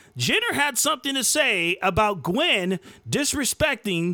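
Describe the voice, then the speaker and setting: A man's raised, projected voice, bright and sharp in tone, moves at a moderate pace with very wide pitch swings. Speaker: podcast host. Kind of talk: angry rant. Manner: indignant, emphatic, preachy, fired-up.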